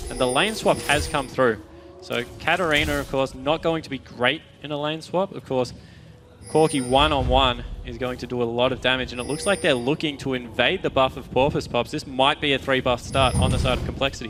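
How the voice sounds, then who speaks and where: Speaking with an Australian accent, a man keeps a fairly quick pace. His pitch is medium, with ordinary variation. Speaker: esports commentator. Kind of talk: live commentary.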